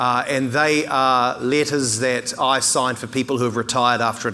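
Bright and sharp in tone, a man talks at a moderate pace. His intonation is monotone and flat. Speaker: keynote speaker. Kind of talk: keynote speech. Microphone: lapel.

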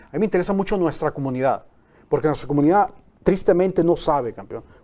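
A man's dark, mellow-toned voice. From Mexico. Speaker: phototherapy patch promoter; talk show guest. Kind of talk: TV interview. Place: studio. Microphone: lapel.

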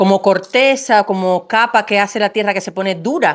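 A woman's voice with ordinary pitch variation against a quiet background. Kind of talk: tutorial. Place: garden. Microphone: lapel.

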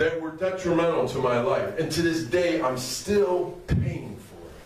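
The speaker uses an American accent at a fairly slow pace. Pitch varies in an ordinary way, and room echo is audible. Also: man, high pitch for a man. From Rochester, New York, USA. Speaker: minister, Bible study preacher. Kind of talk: sermon, preaching at an outdoor Bible study. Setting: outdoors, downtown street outreach. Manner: fervent, exhortative. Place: hall.

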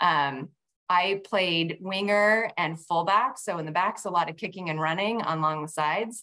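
Against a quiet background, a woman with an American accent speaks at a fairly slow pace. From Northern California (Vacaville); Northern California. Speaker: head winemaker; guest. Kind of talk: casual interview on a wine-tasting webinar. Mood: friendly, relaxed. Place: kitchen. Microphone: video call.

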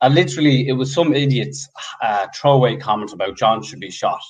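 Against a quiet background, a man with an Irish accent talks at a fairly quick pace with vocal fry. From Ireland. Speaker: football fan group co-founder; guest. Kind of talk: casual interview. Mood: animated, opinionated. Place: home room. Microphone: video call.

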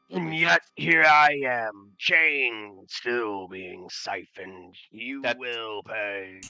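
A man's put-on character voice at a medium pitch and a very slow pace. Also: hardly any pauses. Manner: menacing, vengeful.

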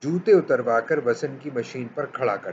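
Over light background noise, a man speaks at a very slow pace in a somewhat breathy voice. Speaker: story reader. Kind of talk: reading a short story aloud. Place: home room. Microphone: webcam.

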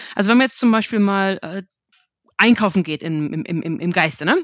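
Over a quiet background, a woman of medium pitch speaks, the sound dry and close with no echo. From Germany. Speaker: market research analyst. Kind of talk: podcast interview. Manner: halting, many repetitions and fillers.

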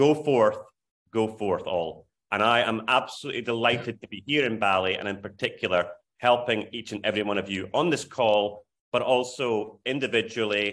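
A man speaks in an Aberdeen accent with medium pitch. His pace is moderate, and his pitch varies in an ordinary way. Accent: Scottish (Aberdeen). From Scotland, Aberdeen. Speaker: charity fundraising consultant. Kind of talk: video call advice talk. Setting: video call.

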